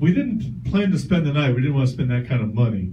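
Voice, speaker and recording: Man of medium pitch with very wide pitch swings, amid noticeable background noise and audible room echo. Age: 60s. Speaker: stand-up comedian. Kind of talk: stand-up. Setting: stage with audience.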